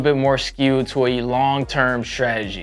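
With faint music in the background, a man talks at a moderate pace. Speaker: presenter. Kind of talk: tutorial. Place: studio. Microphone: lapel.

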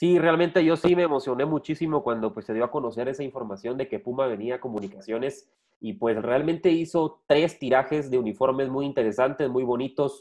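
A man's voice at a fairly quick pace, hardly any pauses, ordinary pitch variation, and a quiet background. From Guatemala. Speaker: sports journalist and podcast host; sports journalist, podcast host. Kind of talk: casual sports talk show. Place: home room. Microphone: video call.

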